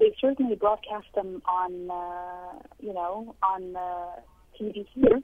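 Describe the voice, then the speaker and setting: Very slow speech in an Arabic accent. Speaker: journalism professor. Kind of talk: interview. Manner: halting.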